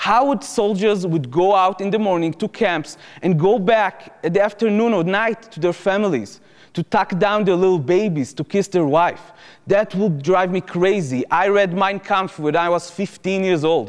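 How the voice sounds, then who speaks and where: With an Israeli accent, a man talks at a moderate pace in a high-pitched voice that shows ordinary pitch variation. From Israel, Jerusalem. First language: Hebrew. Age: 20s. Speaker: former soldier turned activist speaker. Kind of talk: lecture.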